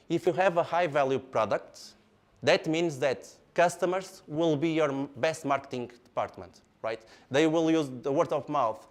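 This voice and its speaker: On a very clean recording with a silent background, a man with a Portuguese accent speaks at a fairly slow pace in a fairly high pitch, with ordinary pitch variation. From Portugal, Porto. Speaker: engineer and product speaker. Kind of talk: lecture. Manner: animated.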